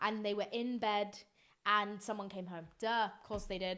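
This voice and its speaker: With a British accent, a woman talks at a moderate pace and a medium pitch. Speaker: podcast host. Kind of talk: casual solo podcast chat. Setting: office room at night. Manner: animated.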